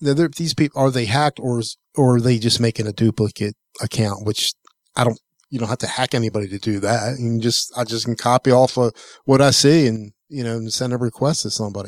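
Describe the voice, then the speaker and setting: A man's normal speaking voice at medium pitch, fairly quick and fairly even in intonation, with a dry, close sound, no echo, and a very clean recording over a silent background. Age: 60s. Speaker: tech podcast co-host. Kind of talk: casual chat.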